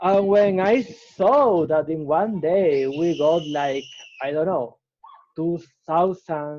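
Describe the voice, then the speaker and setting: Speaking very slowly with a Spanish accent, a man uses a high pitch and ordinary pitch variation. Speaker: startup founder. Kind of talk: interview. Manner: halting, with self-corrections.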